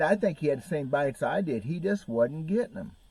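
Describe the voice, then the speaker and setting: A man speaks in a dark, mellow tone with an American accent. His intonation is lively. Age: 60s. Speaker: bass fishing YouTuber. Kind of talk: casual vlog talk.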